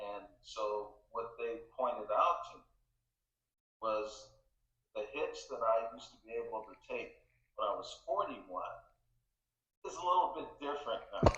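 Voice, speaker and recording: Against audible room echo, a man speaks at a fairly slow pace with long, frequent pauses and big swings in loudness. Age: 70s. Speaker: race car driver and military veteran. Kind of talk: interview.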